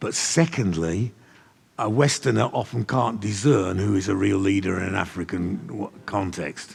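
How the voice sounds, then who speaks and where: With an unremarkable speaking voice, this man talks at a moderate pace in a fairly low pitch, his intonation lively. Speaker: church leader and trainer of leaders. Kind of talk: teaching session with audience questions.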